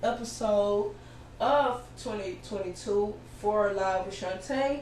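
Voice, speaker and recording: A loud voice speaks at a very slow pace with fairly even intonation amid noticeable background noise and audible room echo. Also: woman. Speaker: podcast host. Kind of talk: interview.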